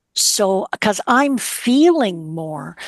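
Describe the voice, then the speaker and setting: A woman talks at a very slow pace with very wide pitch swings. The sound is dry and close, with no echo. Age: 70s. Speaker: actress and career coach. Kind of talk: heartfelt conversation about grief.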